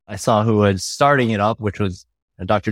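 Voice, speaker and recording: A man speaks in a normal speaking voice at a fairly quick pace with a fairly low pitch. The recording is very clean with a silent background and a dry, close sound with no echo. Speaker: cardiologist. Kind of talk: panel discussion.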